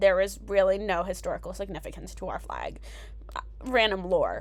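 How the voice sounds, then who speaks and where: A woman speaks at a moderate pace with big swings in loudness, and audible room echo is present. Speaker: travel vlogger. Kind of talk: casual vlog voiceover.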